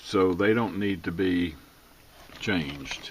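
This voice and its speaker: Intonation stays fairly even as the man talks. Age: 80s+. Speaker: radio restorer and car hobbyist. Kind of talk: tutorial. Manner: casual with many fillers.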